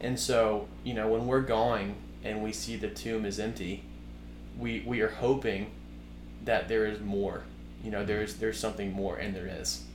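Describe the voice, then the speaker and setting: Audible room echo surrounds a man speaking at a moderate pace. He leaves long, frequent pauses. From US South, Birmingham, Alabama. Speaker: guest sharing faith story. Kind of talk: casual faith conversation. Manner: halting.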